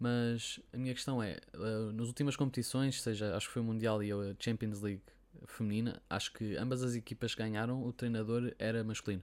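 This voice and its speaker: His delivery is monotone and flat. The man speaks fairly quickly at a medium pitch. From Portugal. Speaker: podcast host. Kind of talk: interview.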